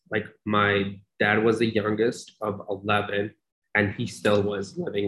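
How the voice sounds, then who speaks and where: A man with a plain, everyday voice and an American accent talks fairly slowly at a fairly low pitch, keeping his intonation fairly even. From Pakistan, then Long Island, New York from childhood. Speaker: nonprofit worker with refugees. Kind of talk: interview conversation.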